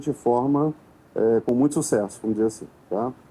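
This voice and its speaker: The man's voice has a dark, mellow tone. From Rio de Janeiro, Brazil. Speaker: consultant, conference speaker. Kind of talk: conference talk. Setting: stage with audience.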